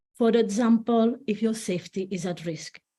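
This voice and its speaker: A woman speaks at a fairly slow pace with a Spanish accent. Her tone is dark and mellow, somewhat breathy, with ordinary pitch variation. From Spain. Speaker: family law solicitor and divorce coach. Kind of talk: online presentation. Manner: halting with some self-corrections.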